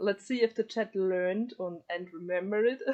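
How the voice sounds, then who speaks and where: A woman with a German accent speaks at a moderate pace. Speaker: streamer and interviewer. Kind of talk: live stream interview. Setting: live stream voice chat. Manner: halting.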